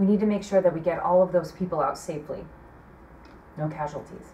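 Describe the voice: A woman speaks at a fairly quick pace with a dark, mellow tone, fairly low pitch, and ordinary pitch variation.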